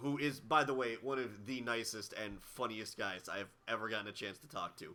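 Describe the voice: This put-on character voice is hoarse and raspy, at a moderate pace. Its loudness swings widely. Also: man, medium pitch for a man.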